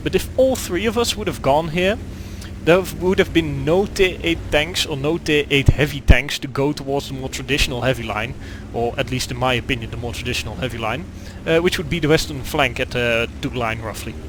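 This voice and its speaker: A man talks at a fairly quick clip with a Dutch accent, and noticeable background noise runs behind him. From Netherlands. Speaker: gaming video creator. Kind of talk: gameplay commentary. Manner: halting, many fillers.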